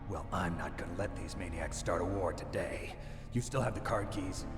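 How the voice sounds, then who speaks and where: A put-on character voice at a moderate pace, under loud background noise. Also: man, fairly low pitch for a man. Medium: game stream. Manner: terse, clipped.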